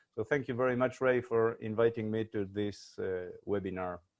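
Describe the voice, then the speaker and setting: A man talks at a moderate pace with ordinary pitch variation. He has a Uruguayan accent. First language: Spanish. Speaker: research company CEO. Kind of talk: panel discussion.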